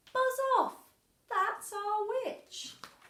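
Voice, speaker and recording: This is a put-on character voice at an extremely high pitch, shrill and croaky with growling. A slight echo can be heard. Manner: harsh, menacing.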